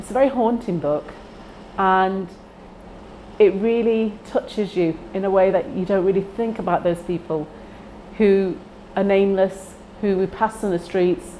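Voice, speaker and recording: A woman's medium-pitched voice in a Manchester accent, with fairly even intonation at a fairly slow pace. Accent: Greater Manchester English. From northern England, Heywood near Manchester. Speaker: library user. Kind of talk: personal testimony.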